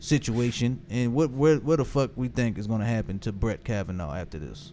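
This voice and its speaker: Lively intonation marks a man's medium-pitched voice with a dark, mellow tone. He keeps a moderate pace. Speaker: podcast host. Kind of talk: casual chat. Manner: animated.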